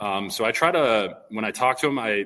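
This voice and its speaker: In a very clean recording with a silent background, a man speaks loudly in a fairly low, bright, sharp voice with fairly even intonation. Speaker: elementary PE teacher. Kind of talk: casual interview chat. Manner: hesitant, many fillers.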